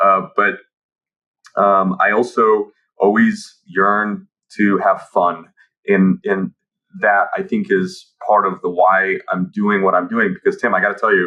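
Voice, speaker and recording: A man with a Midwestern American accent speaks at a fairly slow pace. His loudness stays very even, broken by long, frequent pauses. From Kansas City, US Midwest (Ukrainian immigrant). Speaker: automotive tech founder and dealer. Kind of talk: podcast interview. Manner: hesitant, many fillers.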